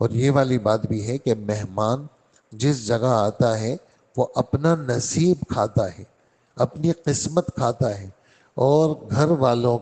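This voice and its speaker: Ordinary pitch variation runs through a man's voice, which has a dark, mellow tone. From Karachi, Pakistan. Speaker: Islamic scholar giving a Quran lesson. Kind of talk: religious lecture (Quran exegesis). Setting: mosque lesson.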